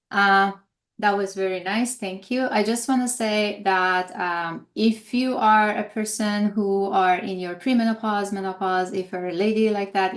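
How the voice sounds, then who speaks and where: Moderate-paced speech from a woman at medium pitch with fairly even intonation, over a quiet background. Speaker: holistic health coach. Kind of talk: webinar presentation. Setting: live stream webinar. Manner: hesitant, many fillers.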